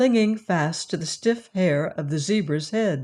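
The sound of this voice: The speaker uses an unforced reading voice.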